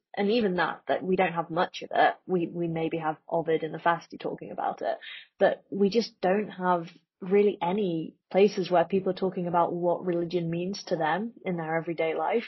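A plain, everyday voice at a moderate pace. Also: woman, fairly low pitch for a woman. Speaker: podcast guest. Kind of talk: casual chat.

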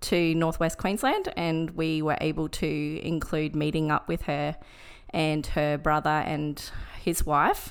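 A woman with an Australian accent speaks at a fairly low pitch and a fairly slow pace. The recording is very clean and the background silent. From Brisbane, Australia. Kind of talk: casual interview, personal testimony. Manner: hesitant, many fillers.

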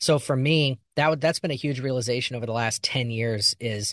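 A man with an American accent, an ordinary speaking voice and medium pitch. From Missouri. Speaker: actor and podcast co-host. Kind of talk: casual chat.

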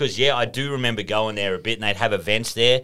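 A man with an Australian accent talks at a very fast pace and medium pitch, with ordinary pitch variation. His tone is bright and sharp, and the recording is very clean with a silent background. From rural northern New South Wales, near Queensland border. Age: 30s. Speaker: podcast guest. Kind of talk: casual chat.

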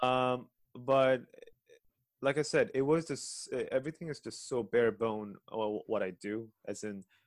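In an unremarkable speaking voice, a man talks at a fairly slow pace and medium pitch with ordinary pitch variation. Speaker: podcast host and ensemble pianist. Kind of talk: casual interview.

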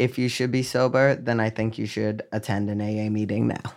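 With an American accent, a man at medium pitch speaks in a plain, everyday voice with fairly even intonation on a very clean recording with a silent background. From Boston area, Massachusetts. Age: 30s. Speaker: chef and restaurant owner. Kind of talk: casual chat. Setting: studio.

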